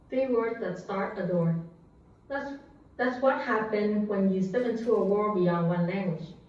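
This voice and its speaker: Moderate-paced speech with ordinary pitch variation, audible room echo and noticeable background noise. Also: woman, medium pitch for a woman. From Vietnam. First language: Vietnamese. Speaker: public speaker. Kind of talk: prepared speech.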